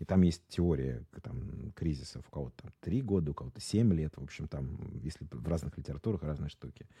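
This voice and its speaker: Very deep and low in pitch, a man talks at a moderate pace with hardly any pauses, a dark, mellow tone and vocal fry. His intonation is lively, and his loudness swings widely. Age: 40s. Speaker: marketing executive. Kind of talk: casual interview.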